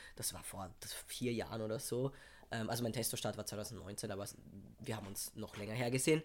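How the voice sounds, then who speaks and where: A man talks at a fairly quick pace, his pitch medium and his intonation fairly even. Long pauses come often. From Austria, Vienna. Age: 20s. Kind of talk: casual chat.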